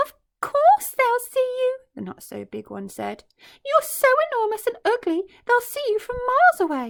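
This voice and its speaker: An extremely high, squeaky put-on character voice, raised and projected, at a moderate pace. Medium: read story. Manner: scornful, blunt.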